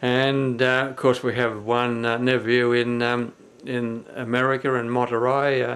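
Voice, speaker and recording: A man with an Australian accent speaks fairly slowly in a medium, monotone pitch. Noticeable background noise runs underneath. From Australia, New South Wales. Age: 70s. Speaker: family video blogger. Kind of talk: personal video message. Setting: indoors, filmed on camera. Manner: halting, many fillers.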